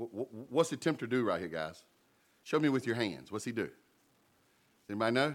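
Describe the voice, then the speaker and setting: With an American accent and vocal fry, the speaker races at a very fast pace with lively intonation and long, frequent pauses in a very clean recording with a silent background. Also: man, medium pitch for a man. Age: 50s. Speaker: pastor. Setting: church with congregation. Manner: halting restarts and repeated words, fillers like uh and um.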